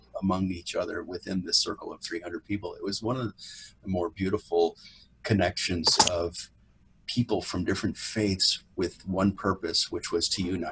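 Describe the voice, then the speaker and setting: Here a man talks at a fairly quick pace with an American accent. His voice is fairly low and somewhat breathy. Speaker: actor. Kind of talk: interview.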